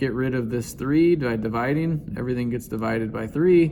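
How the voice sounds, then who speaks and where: A man with ordinary pitch variation and a medium pitch talks in a room with audible echo. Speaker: math teacher. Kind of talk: tutorial.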